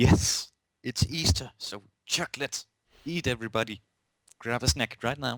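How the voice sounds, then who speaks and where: With a Danish accent and medium pitch, a man speaks with long, frequent pauses in a dry, close sound with no echo. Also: ordinary pitch variation, moderate pace. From Denmark. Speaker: podcast co-host. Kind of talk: casual podcast chat.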